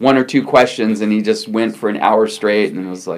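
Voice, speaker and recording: This man has an unremarkable speaking voice, talking at a moderate pace with lively intonation. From Newfoundland, born in California. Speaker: TV interview host. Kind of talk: interview, casual chat. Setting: video call.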